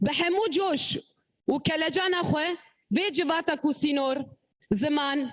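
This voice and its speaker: With a Kurdish accent, a woman talks at a moderate pace and high pitch, keeping very even loudness and ordinary pitch variation while taking long, frequent pauses. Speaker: opening speaker of the organisation. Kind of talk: speech. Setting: conference hall.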